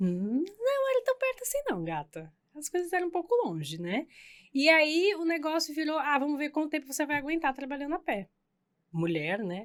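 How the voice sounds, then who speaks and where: This woman's voice sits high and swings very widely in pitch. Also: moderate pace. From Brazil, São Paulo and Santos coast. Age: 30s. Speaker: hairdresser. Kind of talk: casual chat. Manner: animated.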